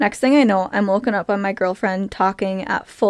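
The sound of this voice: Someone reads in an unforced reading voice.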